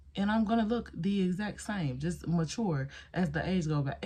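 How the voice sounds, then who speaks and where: With an animated tone and lively intonation, a woman speaks at a medium pitch over noticeable background noise. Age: 20s. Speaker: beauty vlogger. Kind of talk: casual chat.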